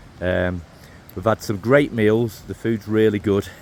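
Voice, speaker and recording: A man with a Mancunian accent, medium pitch and a fairly slow pace. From northern England, Manchester. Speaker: travel vlogger. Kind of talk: casual vlog commentary. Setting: outdoors on a hiking trail.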